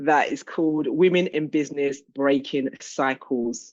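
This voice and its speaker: Here is a woman with a London accent. Her pitch is very deep and low. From London, England. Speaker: business coach and healing practitioner. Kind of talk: self-introduction in group call.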